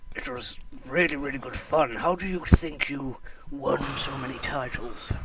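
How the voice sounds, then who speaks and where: A put-on character voice is heard over loud background noise. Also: man, fairly high pitch for a man, moderate pace. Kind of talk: mock TV sports commentary. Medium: comedy sketch. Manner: chirpy, eager.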